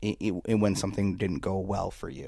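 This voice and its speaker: A man with a Canadian accent speaks in an ordinary speaking voice, fairly low in pitch, at a moderate pace. His intonation is fairly even, and the recording is very clean with a silent background. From Canada. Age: 20s. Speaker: political commentator. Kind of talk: casual interview chat.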